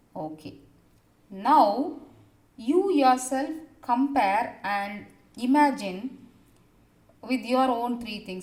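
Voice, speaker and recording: A woman speaks in a high pitch with ordinary pitch variation, and audible room echo surrounds her voice. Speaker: school teacher. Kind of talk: recorded online class lesson.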